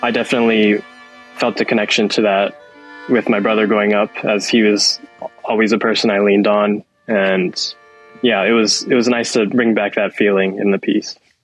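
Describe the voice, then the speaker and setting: With music in the background, a man speaks in an American accent at a fairly low pitch, his intonation monotone and flat and his loudness very even. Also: moderate pace. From San Francisco, California. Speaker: dancer. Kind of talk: interview answer.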